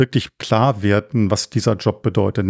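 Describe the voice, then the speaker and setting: A man at medium pitch uses a normal speaking voice, speaking at a fairly slow pace with fairly even intonation, captured in a very clean recording with a silent background and a dry, close sound with no echo. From Germany, Cologne. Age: 60s. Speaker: culture association chairman. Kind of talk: interview.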